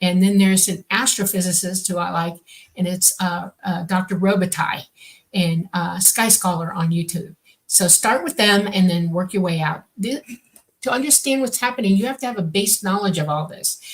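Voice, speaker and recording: A woman talks at a moderate pace in a somewhat breathy voice. Her pitch is medium, with ordinary variation. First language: Swedish. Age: 60s. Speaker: radio show co-host, contactee. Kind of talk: live radio Q&A. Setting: radio studio. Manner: halting.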